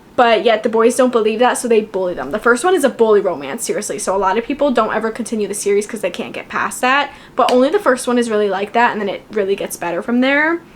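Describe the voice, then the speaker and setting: A woman at a very fast pace, fairly high in pitch and animated in tone, lively in intonation with hardly any pauses, over noticeable background noise. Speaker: booktuber. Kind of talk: casual book review talk.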